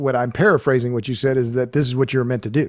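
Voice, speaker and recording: A man talks at a very fast pace. His pitch is medium. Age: 60s. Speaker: podcast host and energy writer. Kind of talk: podcast interview.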